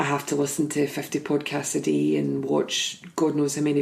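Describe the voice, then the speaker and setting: A woman with a Scottish accent at a moderate pace, amid noticeable background noise. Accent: Scottish lilt. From Scotland. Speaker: podcast host and life coach. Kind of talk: casual podcast conversation.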